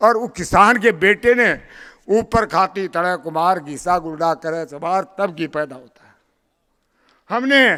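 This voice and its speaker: In a very clean recording with a silent background, a man uses a raised, projected voice with a bright, sharp tone and big swings in loudness. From Rajasthan, Shekhawati region. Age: 80s+. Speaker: community leader. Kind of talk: public speech.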